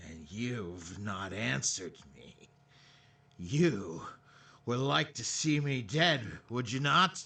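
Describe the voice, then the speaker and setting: A man does a raspy put-on character voice at medium pitch, with very wide pitch swings and big swings in loudness. He goes at a very slow pace, with long, frequent pauses. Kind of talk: 1950s radio drama acting. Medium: stage play.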